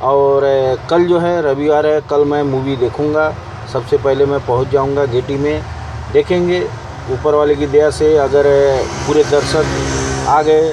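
A man speaks fairly slowly at a fairly high pitch. His pitch moves little, and clear background noise is present.

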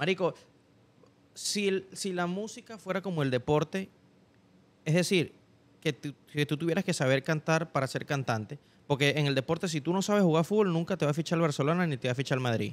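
At a fairly quick pace, a man speaks with fairly high pitch and ordinary pitch variation. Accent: Venezuelan. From Venezuela. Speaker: podcast guest, musician; podcast guest. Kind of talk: casual chat. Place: studio. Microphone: studio mic.

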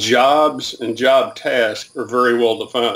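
A man with a Southern US accent and fairly even intonation. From US South, Alabama. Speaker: retired military, training professional. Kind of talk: interview. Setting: video call. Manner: halting. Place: home room.

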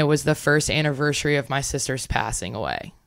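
With vocal fry and a very deep, low pitch, a woman speaks at a fairly quick pace using ordinary pitch variation. The background is quiet and the sound is dry with no echo. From Louisiana. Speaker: professional beach volleyball player; podcast guest. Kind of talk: interview. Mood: reflective, sometimes somber. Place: home room. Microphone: studio mic.

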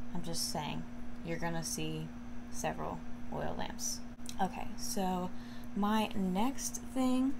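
A woman talks against noticeable background noise. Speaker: home decor vlogger. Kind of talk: casual vlog chat. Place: home room. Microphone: phone near.

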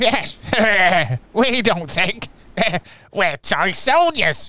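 This is a put-on character voice, fairly high in pitch. It goes at a very slow pace with very wide pitch swings.

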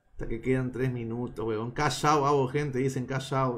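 At a fairly slow pace, a man talks at a medium pitch. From Peru, Lima (Chorrillos). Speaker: live streamer. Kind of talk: casual live stream chat with betting commentary. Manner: animated.

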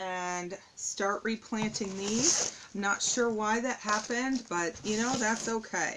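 Loud background noise runs throughout. Over it, a woman talks at a fairly slow pace. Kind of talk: tutorial. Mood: relaxed, slightly puzzled. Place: home room. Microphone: phone near.

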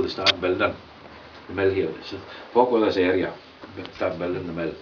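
The speaker is a man. Noticeable background noise sits behind him. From Orkney, Scotland. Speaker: miller. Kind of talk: casual explanation to visitors. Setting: inside a water mill. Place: factory. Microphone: camera far.

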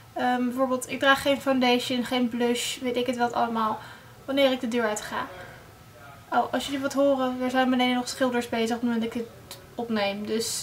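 A woman speaks at a high pitch and a moderate pace. Her intonation is monotone and flat, with light background noise behind her. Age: young. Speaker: beauty blogger. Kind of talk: casual talk to camera. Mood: friendly, slightly apologetic. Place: home room. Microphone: phone near.

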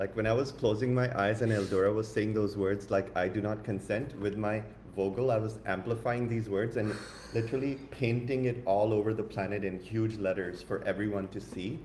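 With light background noise and audible room echo, a man talks at a fairly low pitch. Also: fairly quick pace. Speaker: spiritual coach and co-host; spiritual coach, co-host. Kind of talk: upbeat spiritual talk. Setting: live online stream. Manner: enthusiastic, animated. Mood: enthusiastic, uplifting. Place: home room. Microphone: phone near.

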